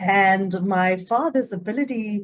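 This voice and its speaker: Here a woman speaks with a South African accent. Her intonation is lively. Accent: South African, noticeable. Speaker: psychologist. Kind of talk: interview conversation. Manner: enthusiastic, some repetitions.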